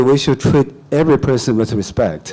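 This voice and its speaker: This man talks with a Chinese accent in a fairly high pitch. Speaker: comedian. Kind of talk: panel discussion.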